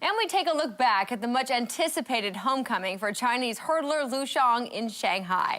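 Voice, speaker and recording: The speaker uses lively intonation and hardly any pauses over noticeable background noise. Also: woman, high pitch for a woman, moderate pace. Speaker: sports host. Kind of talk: sports TV show hosting.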